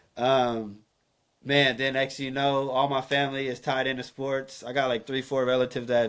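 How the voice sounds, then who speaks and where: A man with an American accent speaks at a moderate pace in a monotone, flat intonation. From Northern California. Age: young. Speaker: photographer and entrepreneur. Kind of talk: casual interview chat.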